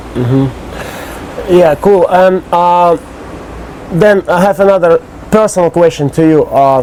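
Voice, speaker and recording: Speech comes at a very slow pace with noticeable background noise behind it. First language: Russian. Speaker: interviewer. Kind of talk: interview. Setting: outdoors on a private island.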